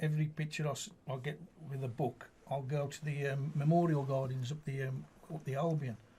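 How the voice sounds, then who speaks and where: This man's voice is somewhat breathy, with a dark, mellow tone and a fairly high pitch. He moves at a fairly quick pace in monotone, flat intonation. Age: 60s. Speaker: amateur poet and football supporter. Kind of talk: radio interview. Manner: casual, hesitant with fillers.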